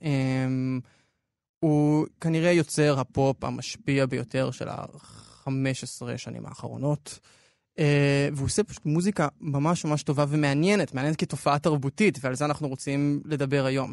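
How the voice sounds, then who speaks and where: Here a man has an ordinary speaking voice, with a fairly high pitch, a moderate pace and fairly even intonation. The sound is dry and close with no echo, against a quiet background. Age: young. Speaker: podcast editor and culture commentator. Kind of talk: radio culture discussion.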